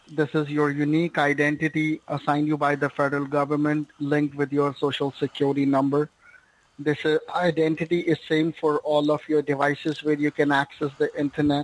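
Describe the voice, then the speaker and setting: A man with a fairly high voice talks at a fairly quick pace, his loudness very even and the sound dry with no echo. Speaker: tech support scammer; caller. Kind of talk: phone call. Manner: formal. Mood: persuasive, insistent.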